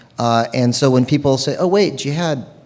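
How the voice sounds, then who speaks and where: With an American accent, the speaker keeps a moderate pace and ordinary pitch variation amid noticeable background noise. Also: man. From Arizona, US. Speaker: Islamic scholar, panel speaker. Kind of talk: panel discussion. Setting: auditorium with audience.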